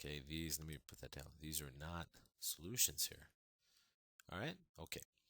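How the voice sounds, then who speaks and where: The voice has a bright, sharp tone with vocal fry and ordinary pitch variation. Long pauses come often. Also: man, very deep, low pitch for a man. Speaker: math teacher. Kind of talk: tutorial. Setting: recorded video lesson. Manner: fast.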